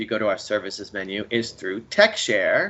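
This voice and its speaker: A man talks with a fairly low pitch. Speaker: librarian. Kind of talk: workshop presentation. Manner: fast.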